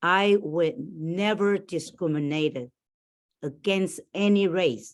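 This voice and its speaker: A woman talks very slowly, and her pitch varies in an ordinary way. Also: fairly low pitch for a woman. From Taiwan. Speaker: school board candidate. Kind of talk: candidates' forum answers. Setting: video call from a library. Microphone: borrowed laptop.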